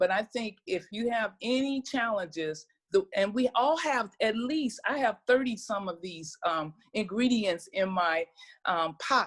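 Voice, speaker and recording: A woman's fairly high, somewhat breathy voice at a fairly slow pace with lively intonation, on a very clean recording with a silent background. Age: 60s. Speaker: herbal wellness practitioner. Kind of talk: casual chat.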